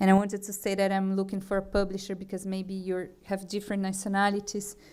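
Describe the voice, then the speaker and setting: Speaking very fast, a woman keeps a medium pitch in a flat, monotone delivery. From Brazil. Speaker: food artist and festival director. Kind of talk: conference talk. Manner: halting, many fillers and restarts.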